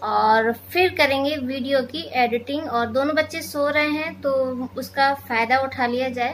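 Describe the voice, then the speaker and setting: Over light background noise, a woman talks at a very slow pace. Her voice is high-pitched with a bright, sharp tone and fairly even intonation. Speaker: home vlogger. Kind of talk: casual vlog chat. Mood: relaxed, chatty. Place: home room. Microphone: phone near.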